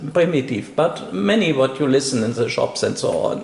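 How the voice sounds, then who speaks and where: Lively intonation in a non-native accent, with noticeable background noise. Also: man. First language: not English. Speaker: interviewer. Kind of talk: interview. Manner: halting.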